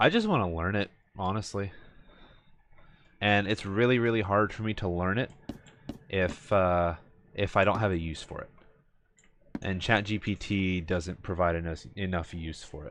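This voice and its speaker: A man with an American accent at a moderate pace, fairly low in pitch, his intonation fairly even, with long, frequent pauses. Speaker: video game streamer. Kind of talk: casual chat. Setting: live stream. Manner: hesitant, many fillers.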